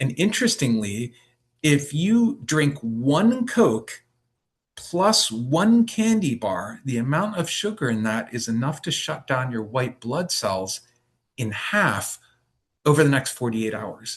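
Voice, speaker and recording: Somewhat breathy and fairly high in pitch, a man talks at a very slow pace with very wide pitch swings. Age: 60s. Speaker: acupuncturist giving a health workshop. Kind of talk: lecture. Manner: halting, many fillers.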